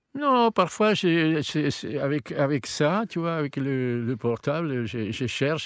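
In a Spanish accent, the voice moves at a very slow pace with lively intonation and hardly any pauses, on a very clean recording with a silent background. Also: man. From Argentina. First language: Spanish (speaking French). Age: old. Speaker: opera tenor singer. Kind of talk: casual interview. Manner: halting.

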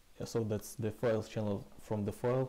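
A man speaks in a dark, mellow tone at a fairly low pitch. His pace is fairly quick and his intonation fairly even.

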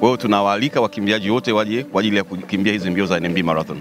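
A man with a fairly low pitch is heard in a dry sound with no echo, with noticeable background noise behind him. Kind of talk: interview answer. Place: street. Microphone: handheld.

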